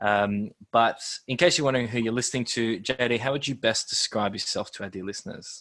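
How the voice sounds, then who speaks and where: Speaking with an Australian accent, a man uses a medium pitch and fairly even intonation. His tone is bright and sharp. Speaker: podcast host and stadium match day MC. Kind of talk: casual chat. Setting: video call. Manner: loud.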